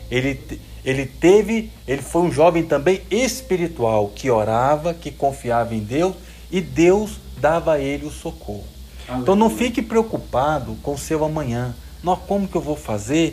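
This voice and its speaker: A man talks at a fairly slow pace. Audible room echo and noticeable background noise surround him. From Brazil, Minas Gerais (Jequitinhonha valley). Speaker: preacher. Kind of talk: sermon to young audience. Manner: animated.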